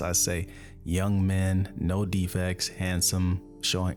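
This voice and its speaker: A soft-spoken man talks in a very deep, low voice with a relaxed tone. Music plays in the background. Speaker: ASMR reader. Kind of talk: scripture reading and commentary. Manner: soft-spoken, slow, relaxed.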